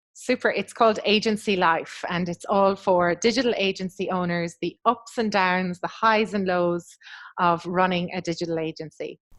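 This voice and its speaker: A woman with an Irish accent, medium pitch and fairly even intonation. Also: moderate pace. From west of Ireland. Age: 40s. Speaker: agency business coach. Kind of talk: podcast interview. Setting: video call.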